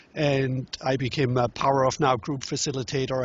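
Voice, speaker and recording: This man talks with a German accent in a somewhat breathy voice. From Germany. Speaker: relationship workshop teacher and author. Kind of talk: interview. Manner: halting.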